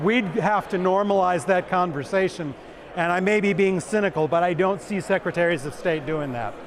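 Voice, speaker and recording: A high-pitched man at a moderate pace over noticeable background noise. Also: ordinary pitch variation. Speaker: election official. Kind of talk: conference Q&A.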